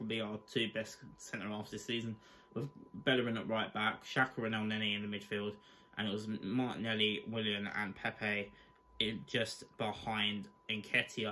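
His voice is fairly low for a man and delivered in a monotone, flat intonation. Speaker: fan channel host. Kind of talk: angry post-match rant. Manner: fired-up, swearing, exasperated; blunt, rapid-fire verdicts. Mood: deflated, disappointed. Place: home room. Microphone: webcam.

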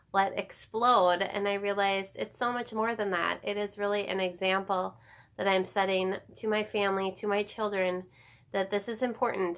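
A woman at a moderate pace with monotone, flat intonation. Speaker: home organizing vlogger. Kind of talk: casual vlog chat. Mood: warm, reflective. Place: home room. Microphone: phone near.

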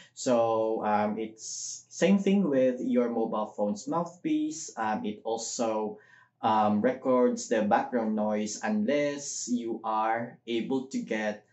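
Audible room echo surrounds a man speaking. He goes at a very slow pace with ordinary pitch variation. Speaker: vlogger. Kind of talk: tutorial. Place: home room.

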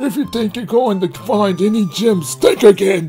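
With clear music in the background, a man puts on a raspy, high-pitched character voice at a moderate pace. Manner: menacing, theatrical.

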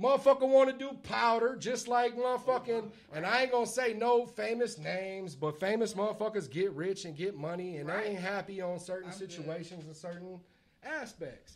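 Noticeable background noise behind a man's high-pitched voice, with lively intonation, a fairly quick pace and big swings in loudness. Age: 30s. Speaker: podcast guest. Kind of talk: casual chat. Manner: animated.

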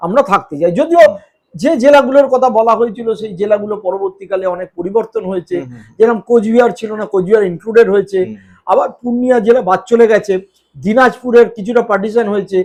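Pitched high for a man, his voice shows ordinary pitch variation. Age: 50s. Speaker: political journalist. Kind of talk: interview. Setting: at home.

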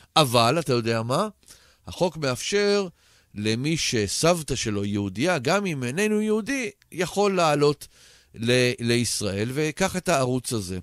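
Very slowly, a man speaks with very wide pitch swings, the sound dry with no echo over a quiet background. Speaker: radio show host. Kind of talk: radio interview introduction. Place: studio.

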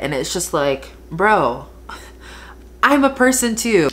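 The woman speaks with very wide pitch swings. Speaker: beauty vlogger. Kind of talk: casual vlog chat. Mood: frustrated, emphatic. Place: home room. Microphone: phone near.

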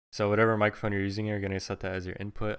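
Against a quiet background, a man talks at a fairly low pitch. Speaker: tutorial maker. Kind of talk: tutorial. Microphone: studio mic.

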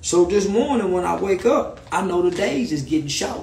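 Audible room echo surrounds a man's high voice at a moderate pace. His tone is animated and his intonation lively. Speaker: live streamer. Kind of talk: angry rant on Instagram live. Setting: live stream, video call. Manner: animated, sarcastic, storytelling. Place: home room. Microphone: phone near.

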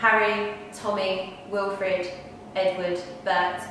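A woman talks with fairly even intonation. There is strong room echo and light background noise. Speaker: poetry performer. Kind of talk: poem performed, dramatic reading aloud. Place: home room. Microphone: camera far.

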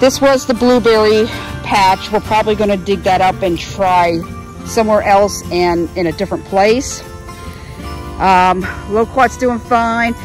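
A woman at a fairly slow pace over clear background music. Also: dry sound with no echo. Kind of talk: casual vlog chat. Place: garden. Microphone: phone near.

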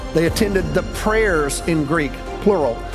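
A high-pitched man with ordinary pitch variation, clear music in the background. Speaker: pastor preaching. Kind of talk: sermon. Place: church. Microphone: headset.

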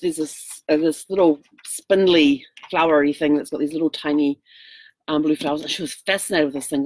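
A woman speaks very fast with a very deep, low pitch, and the sound is dry with no echo. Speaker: RV traveler vlogger. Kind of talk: casual vlog chat. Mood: cheerful, laughing storytelling. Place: home room. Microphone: webcam.

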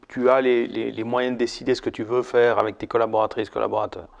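A man speaks against a quiet background. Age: 50s. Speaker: marketing consultant. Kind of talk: casual chat. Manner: halting, many repetitions. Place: home room.

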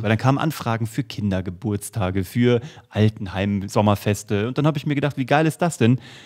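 Against a quiet background, a man speaks in an animated tone at a fairly quick pace, with ordinary pitch variation. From Germany, Kassel (Hesse). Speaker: podcast co-host. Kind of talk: casual chat. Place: studio. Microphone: studio mic.

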